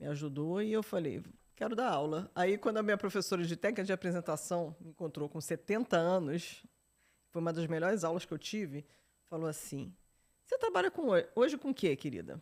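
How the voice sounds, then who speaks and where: Over a silent background on a very clean recording, a woman with a fairly low pitch and an animated tone speaks at a fairly quick pace with ordinary pitch variation. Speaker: journalist and entrepreneur. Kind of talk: podcast interview. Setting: studio.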